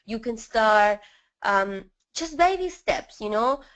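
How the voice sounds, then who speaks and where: A woman with a strong Spanish accent speaks at a very slow pace. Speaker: network marketing leader. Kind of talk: webinar interview. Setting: live webinar call.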